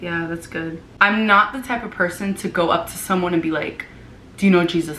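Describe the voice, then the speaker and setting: Speaking with an American accent, a woman is heard over noticeable background noise. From Florida, US. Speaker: vlogger and former missionary. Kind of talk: casual chat.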